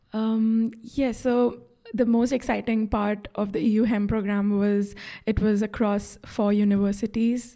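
A woman's medium-pitched voice, dark and mellow in tone, with monotone, flat intonation. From India. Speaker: health economics graduate student. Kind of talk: interview. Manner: hesitant with fillers.

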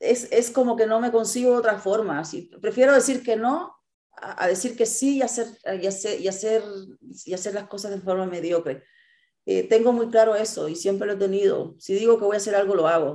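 A woman talks with a dark, mellow tone and lively intonation. The background is quiet. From Cuba. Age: 40s. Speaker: ultramarathon runner. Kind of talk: interview. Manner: halting with repetitions.

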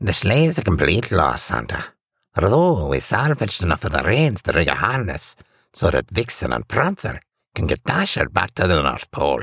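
A man puts on a character voice in a Scottish accent, low in pitch with a fairly bright tone and a slightly husky edge. His pitch swings very widely as he speaks at a moderate pace.

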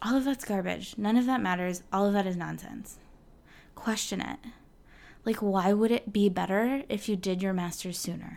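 A woman with an unremarkable speaking voice, medium in pitch, moves at a moderate pace and varies her pitch in an ordinary way. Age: 30s. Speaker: flutist and mindset coach for musicians. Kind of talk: solo podcast monologue. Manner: casual, with many fillers.

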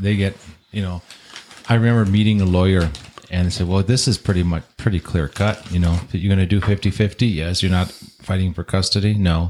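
Over noticeable background noise, a man with a very deep, low voice speaks fairly quickly with fairly even intonation. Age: 50s. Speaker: divorced father. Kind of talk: casual chat.

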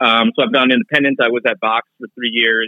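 This man talks at a fairly quick pace in a normal speaking voice, with an American accent, medium pitch and ordinary pitch variation. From Minnesota. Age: 30s. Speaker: political journalist. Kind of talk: casual interview.

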